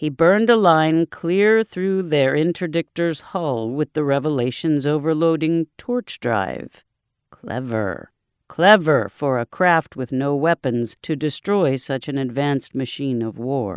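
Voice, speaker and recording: A man puts on a resonant character voice, fairly high in pitch, speaking at a fairly slow pace on a very clean recording with a silent background. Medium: read story. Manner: calm, measured, formal.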